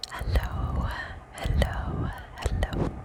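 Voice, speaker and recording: Whispered words from a woman, with noticeable background noise underneath. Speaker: ASMR creator. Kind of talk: ASMR whispered ramble. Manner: whispered, soft-spoken.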